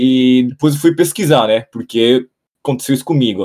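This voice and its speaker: A man speaks at a moderate pace. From Japan, raised in a Brazilian home. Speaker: journalist and YouTuber. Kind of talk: casual chat.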